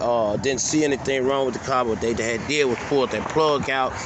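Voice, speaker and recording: A man at a medium pitch and a fairly quick pace, with fairly even intonation, over noticeable background noise. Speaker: vlogger. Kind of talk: casual vlog rant. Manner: fast; halting.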